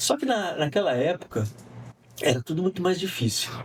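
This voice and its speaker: Noticeable background noise sits under a man's voice. He talks at a fairly quick pace with lively intonation. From interior of São Paulo state, near Minas Gerais border. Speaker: communication professor and semiotics researcher. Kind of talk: podcast interview.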